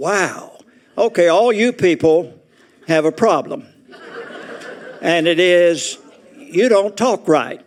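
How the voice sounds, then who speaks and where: Against noticeable background noise, a man with a high pitch speaks at a very slow pace with long, frequent pauses, lively intonation and very even loudness. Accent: American. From Arkansas. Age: 80s+. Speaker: retirement community resident speaker. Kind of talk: humorous talk to an audience. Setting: auditorium with audience.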